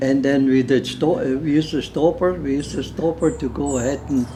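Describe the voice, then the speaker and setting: Noticeable background noise sits behind a man speaking at a fairly slow pace. His pitch is fairly high, and he has a German accent. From Germany, Berlin. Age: 80s+. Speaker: retired underground miner. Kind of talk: interview. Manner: halting.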